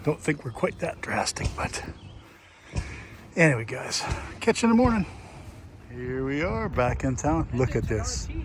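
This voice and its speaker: A man with an American accent talks at a moderate pace, leaving long, frequent pauses. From Minnesota Iron Range. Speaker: vlogger at engine show. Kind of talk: casual vlog narration. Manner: relaxed, chatty.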